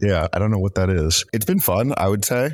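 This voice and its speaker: A man talks at a fairly quick pace. The recording is very clean with a silent background. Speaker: political researcher. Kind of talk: casual roundtable chat.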